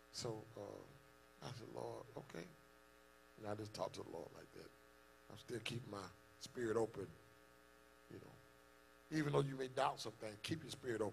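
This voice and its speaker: Amid audible room echo, a man of medium pitch with vocal fry speaks at a fairly quick pace, with long, frequent pauses and ordinary pitch variation. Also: big swings in loudness. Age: 40s. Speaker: pastor. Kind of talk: sermon. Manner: animated.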